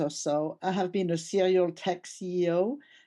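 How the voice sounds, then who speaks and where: A woman with a French accent speaks at a medium pitch against a quiet background. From France. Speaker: tech company CEO. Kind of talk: podcast interview.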